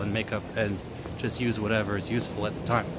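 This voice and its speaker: Music plays behind the speaker, a man. He moves through his words at a fairly quick pace. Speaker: live-stream street vlogger. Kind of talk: casual live-stream talk to camera. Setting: outdoors.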